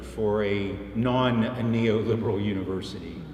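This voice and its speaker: With audible room echo and noticeable background noise, a man speaks at a very slow pace and a medium pitch. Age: 70s. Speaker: professor. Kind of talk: interview. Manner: halting.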